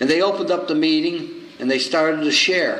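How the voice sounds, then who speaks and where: Over noticeable background noise, a man talks fairly quickly at a high pitch with lively intonation. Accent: New York. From New York, the Bronx. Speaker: recovery circuit speaker. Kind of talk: recovery meeting speaker share. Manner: humorous storytelling.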